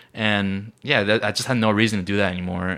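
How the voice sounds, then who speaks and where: In a very clean recording with a silent background, a man talks at a fairly quick pace in a bright, sharp tone. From South Korea. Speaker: musician. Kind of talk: casual chat.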